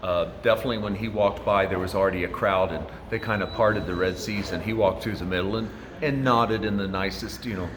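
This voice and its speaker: A man's fairly low voice at a very fast pace, with fairly even intonation, audible room echo and music in the background. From US Midwest, rural southern Indiana. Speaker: hotel doorman. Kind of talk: interview. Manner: hesitant, many fillers.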